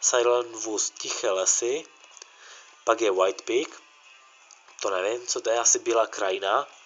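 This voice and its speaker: A man talks at a fairly slow pace with long, frequent pauses while music plays in the background. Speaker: gaming youtuber. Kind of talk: gameplay commentary. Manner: halting.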